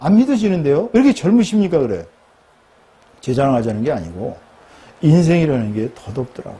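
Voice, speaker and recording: There is noticeable background noise behind a man's voice. He speaks in an animated tone with very wide pitch swings. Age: 60s. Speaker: pastor. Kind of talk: sermon.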